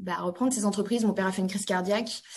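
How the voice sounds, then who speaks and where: A woman speaks in a normal speaking voice at a medium pitch, with fairly even intonation. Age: 30s. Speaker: industrial company CEO. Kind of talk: interview.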